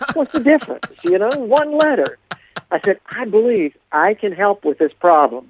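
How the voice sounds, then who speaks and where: A high-pitched man with an American accent speaks at a moderate pace with long, frequent pauses and very wide pitch swings, in a dry, close recording with no echo. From US Appalachia. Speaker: storyteller. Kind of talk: storytelling interview. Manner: animated.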